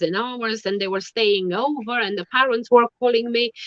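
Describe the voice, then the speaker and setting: With a Romanian accent, a woman speaks at a moderate pace in a fairly high pitch. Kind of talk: casual interview chat. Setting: online live stream. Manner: halting.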